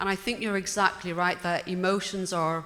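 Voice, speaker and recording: Her pitch is medium for a woman, and she speaks with a British accent. The pace is moderate. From Britain. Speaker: audience member. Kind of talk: audience question.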